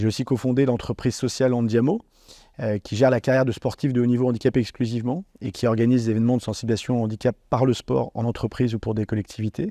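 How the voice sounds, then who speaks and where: A man's dark, mellow voice at medium pitch, very fast, with fairly even intonation over a quiet background. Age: 40s. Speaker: former paralympic athlete and entrepreneur. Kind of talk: interview testimony. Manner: hesitant, many fillers.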